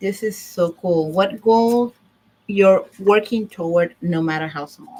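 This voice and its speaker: A woman with a Puerto Rican accent speaks at a very slow pace, her medium-pitched voice dark and mellow in tone. Her pitch varies in an ordinary way, and her loudness swings widely. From Puerto Rico. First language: Spanish. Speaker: divorce service owner and vlogger. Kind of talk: casual livestream talk. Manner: halting, with fillers.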